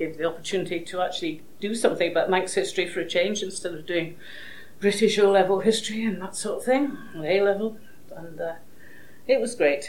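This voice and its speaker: Over noticeable background noise, a woman speaks quickly at a medium pitch with ordinary pitch variation. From Edinburgh, Scotland. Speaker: award recipient, Manx language teacher. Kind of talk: acceptance speech. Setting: award ceremony with audience.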